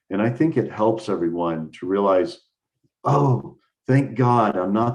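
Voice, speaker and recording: At a fairly slow pace, a plain, everyday voice carries lively intonation. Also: man. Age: 60s. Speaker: mentor. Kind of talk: casual chat.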